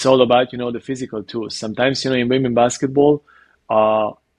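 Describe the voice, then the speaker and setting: A man at medium pitch with a Hungarian accent and fairly even intonation, in a dry, close sound with no echo. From Hungary. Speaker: basketball coach. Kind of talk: interview. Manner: halting, many fillers.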